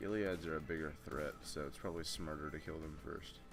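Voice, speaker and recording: Over music in the background and audible room echo, a man with a very deep, low pitch speaks at a moderate pace with ordinary pitch variation. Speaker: gaming commentator. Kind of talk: let's play commentary. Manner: casual, with frequent fillers and restarts.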